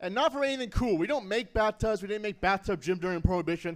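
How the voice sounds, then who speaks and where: A man with a high pitch speaks at a very fast pace, his intonation lively and his tone animated, on a very clean recording with a silent background. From Canada, Nanaimo, British Columbia. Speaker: stand-up comedian. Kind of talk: stand-up. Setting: stage with audience.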